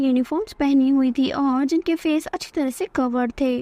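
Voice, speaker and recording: Over noticeable background noise, a woman talks with ordinary pitch variation in a dry, close sound with no echo. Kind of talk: movie recap narration. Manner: storytelling, conversational.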